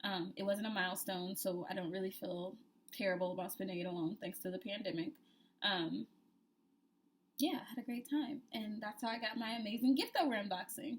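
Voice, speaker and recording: Noticeable background noise behind a woman talking at a fairly quick pace. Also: medium pitch for a woman, ordinary pitch variation. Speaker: cooking vlogger. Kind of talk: casual vlog chat.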